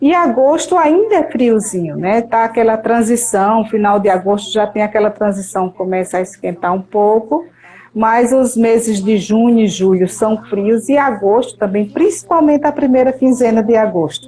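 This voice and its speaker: A woman with a plain, everyday voice speaks at a moderate pace, her pitch fairly high. Her intonation is lively, and she hardly pauses. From Brazil, Paraíba sertão (Patos). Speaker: meteorologist. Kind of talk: interview.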